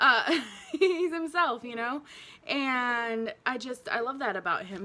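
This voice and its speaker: Speaking at a fairly slow pace, a woman has a bright, sharp tone. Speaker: beauty YouTuber. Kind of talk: makeup review and tutorial. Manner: casual, chatty with fillers.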